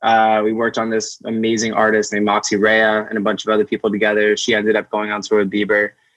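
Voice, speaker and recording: A man speaks at a fairly quick pace in a plain, everyday voice with a fairly low pitch. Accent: American. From US Northeast, Amherst, Massachusetts. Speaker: artist manager. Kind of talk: casual interview chat.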